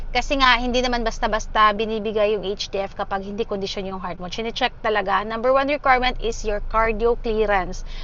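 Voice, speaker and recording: Amid audible room echo, a woman talks very fast with fairly even intonation. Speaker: dialysis patient vlogger. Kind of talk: casual vlog update.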